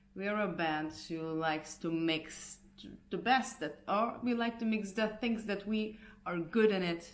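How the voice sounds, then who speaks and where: A woman with a Hungarian accent speaks at medium pitch and a fairly slow pace, with ordinary pitch variation. Audible room echo surrounds her voice. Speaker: punk band singer. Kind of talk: casual vlog update. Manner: halting, many fillers and restarts.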